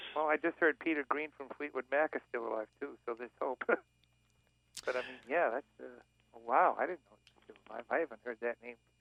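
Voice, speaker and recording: Big swings in loudness run through a man's speech at medium pitch with ordinary pitch variation. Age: 60s. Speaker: radio caller, piano tuner. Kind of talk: radio call-in. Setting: phone call.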